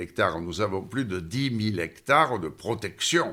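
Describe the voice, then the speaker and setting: A man speaks with a southern French accent and very wide pitch swings, in a very clean recording with a silent background. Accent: southern French, sing-song. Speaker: former mayor. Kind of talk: interview answer.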